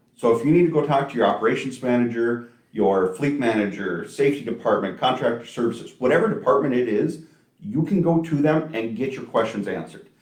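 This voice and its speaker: The speech comes at a very fast pace with lively intonation. Room echo is audible. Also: man. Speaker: trucking company recruiter. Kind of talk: live stream Q&A chat. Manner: loud; talkative.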